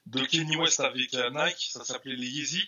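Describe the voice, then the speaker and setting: A man is talking. His pace is fairly slow. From Paris southern suburbs (Villeneuve-Saint-Georges). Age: 40s. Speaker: sneaker reseller and shop owner. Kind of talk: casual interview chat. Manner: halting, many repetitions.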